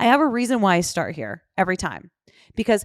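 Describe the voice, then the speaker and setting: Recorded very cleanly against a silent background, a woman with a fairly high pitch talks at a fairly quick pace in a dry, close sound with no echo. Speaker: wedding photographer. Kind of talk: casual chat. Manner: fast.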